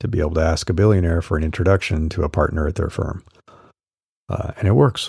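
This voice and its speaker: A man speaks very fast in a very deep, low, somewhat breathy voice with ordinary pitch variation. The recording is very clean with a silent background. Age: 50s. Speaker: solopreneur coach and newsletter podcaster. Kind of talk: solo podcast monologue reading newsletter.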